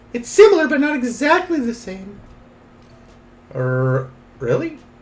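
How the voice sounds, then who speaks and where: A man adopts a put-on character voice pitched extremely high. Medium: virtual streamer. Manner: blunt, animated.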